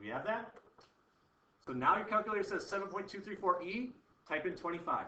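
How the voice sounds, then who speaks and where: With audible room echo, a man in a raised, projected voice and high pitch talks at a very fast pace broken by long, frequent pauses. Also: ordinary pitch variation. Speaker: chemistry teacher. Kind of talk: classroom lecture.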